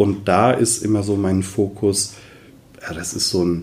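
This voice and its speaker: The man's voice is fairly low in pitch and somewhat breathy. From Westerwald, Germany. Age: 40s. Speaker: voice coach and former opera singer. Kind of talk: interview. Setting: office.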